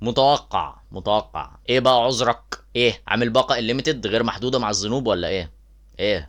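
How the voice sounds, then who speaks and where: Vocal fry runs through this man's voice. He speaks at medium pitch with ordinary pitch variation. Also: moderate pace. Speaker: YouTube commentator. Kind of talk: reaction commentary.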